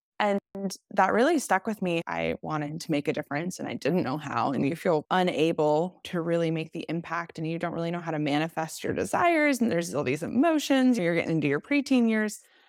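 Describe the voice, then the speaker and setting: A woman with a normal speaking voice and an American accent, fairly low in pitch, with lively intonation, a fairly quick pace and hardly any pauses, in a dry, close sound with no echo. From US South, Nashville, Tennessee. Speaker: podcast guest. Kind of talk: casual chat.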